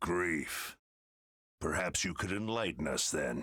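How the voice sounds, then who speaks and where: Putting on a growling character voice, a man speaks very deep and low at a fairly slow pace. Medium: video game. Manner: authoritative, clipped.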